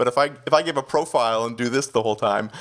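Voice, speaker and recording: Against a silent background in a very clean recording, the speaker talks very fast with fairly even intonation and a slight Canadian accent. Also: man. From Canada. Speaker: executive pastor. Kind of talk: podcast interview.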